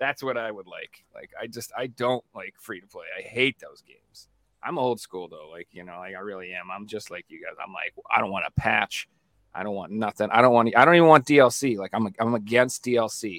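An ordinary speaking voice moves at a moderate pace with ordinary pitch variation and big swings in loudness, the sound dry and close with no echo. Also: man, medium pitch for a man. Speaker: podcast co-host. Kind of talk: casual chat.

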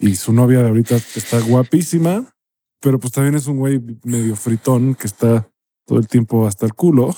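A man speaks with a Mexican accent at a medium pitch and a moderate pace, with ordinary pitch variation. His tone is dark and mellow, in a dry, close sound with no echo. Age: 30s. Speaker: podcast co-host. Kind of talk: casual chat.

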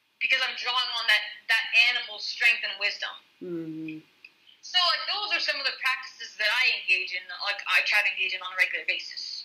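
Noticeable background noise sits behind a woman speaking at a fairly quick pace. Her high voice has very wide pitch swings. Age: 30s. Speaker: guest sharing personal story of religious deconstruction. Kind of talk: casual interview conversation.

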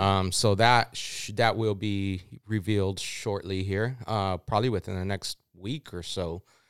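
A man's fairly low-pitched, a normal speaking voice at a fairly slow pace with fairly even intonation, dry and close with no echo, on a very clean recording with a silent background. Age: 40s. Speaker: off-road club podcast host. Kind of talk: casual chat.

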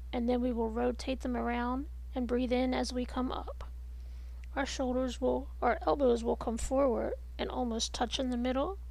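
The woman's tone is soothing. Her pace is moderate. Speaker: meditation and movement instructor. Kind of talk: guided movement and breathing instruction. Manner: soothing and even.

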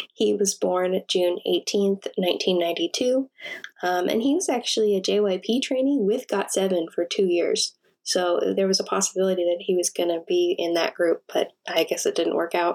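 A woman at a fairly slow pace, her loudness very even throughout. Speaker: podcast co-host. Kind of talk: casual chat. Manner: reading facts from notes.

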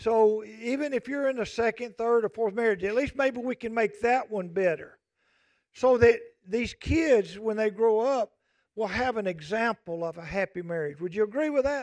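Delivered at a moderate pace, the recording is very clean with a silent background. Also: man, high pitch for a man, ordinary pitch variation. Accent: Southern US. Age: 60s. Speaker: pastor. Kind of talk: sermon. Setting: church. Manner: folksy conversational.

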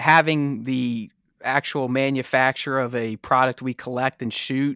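A plain, everyday voice: a man with an American accent, medium pitch and fairly even intonation at a fairly slow pace, in a very clean recording with a silent background and a dry, close sound with no echo. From Pittsburgh, Pennsylvania. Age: 40s. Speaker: toy photographer and collector. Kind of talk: casual chat.

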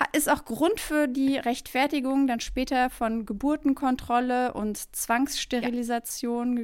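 Very slowly and at a high pitch, a woman speaks with fairly even intonation in a very clean recording with a silent background. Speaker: podcast co-host. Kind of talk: casual chat.

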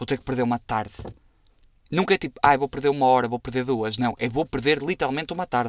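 A man with a European Portuguese accent talks at a very fast pace and medium pitch, recorded dry and close with no echo on a very clean recording with a silent background. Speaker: podcast host. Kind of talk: casual solo monologue. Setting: recording inside a wardrobe. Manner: animated.

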